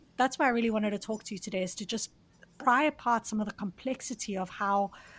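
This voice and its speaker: On a very clean recording with a silent background, a woman's somewhat breathy voice sits at a fairly high pitch and shows ordinary pitch variation. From South Africa. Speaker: podcast host. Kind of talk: interview.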